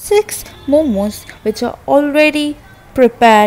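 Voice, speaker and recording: Music plays in the background as a woman speaks at a very slow pace with ordinary pitch variation. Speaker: home food reviewer. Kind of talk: casual product review vlog. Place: kitchen. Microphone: phone near.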